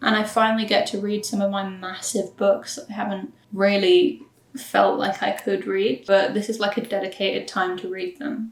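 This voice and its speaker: Noticeable background noise runs through the clip. A woman talks at a moderate speed. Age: 20s. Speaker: book vlogger. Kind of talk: casual vlog talk. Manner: animated.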